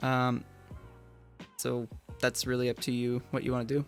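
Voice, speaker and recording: Music plays in the background. A man speaks at a medium pitch in a monotone, flat intonation. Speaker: ham radio hobbyist. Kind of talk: software tutorial walkthrough. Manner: casual, fast-paced.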